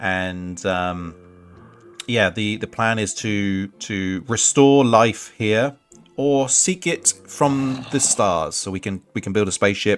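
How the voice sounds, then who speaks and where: A man speaks with an English accent in a fairly low pitch, with ordinary pitch variation. There is music in the background. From England. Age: 40s. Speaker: gaming streamer. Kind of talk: casual live-stream commentary. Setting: live stream. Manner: halting, many fillers.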